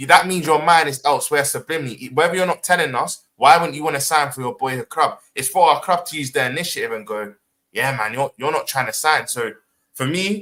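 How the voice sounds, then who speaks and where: A man with a London accent talks at a fairly quick pace and a fairly high pitch. His tone is bright and sharp, with ordinary pitch variation. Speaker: football podcast panelist. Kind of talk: casual debate.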